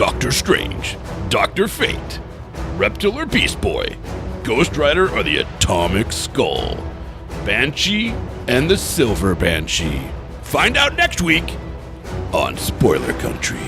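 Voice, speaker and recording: A man uses a booming, put-on character voice at a fairly slow pace. Loud music plays in the background. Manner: dramatic.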